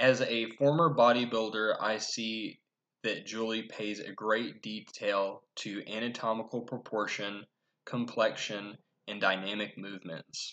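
Intonation is fairly even. Delivery comes at a fairly slow pace. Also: man. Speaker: presenter. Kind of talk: class presentation. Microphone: webcam.

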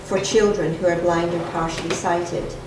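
Fairly even intonation comes through with audible room echo and noticeable background noise. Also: woman. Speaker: library representative / presenter. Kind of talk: conference presentation. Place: meeting room. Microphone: podium.

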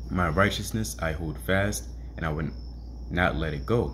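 This man's intonation is lively, with vocal fry. Light background noise sits behind him. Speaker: bible reader, teacher. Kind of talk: scripture reading with commentary. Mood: earnest teaching tone. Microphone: phone near.

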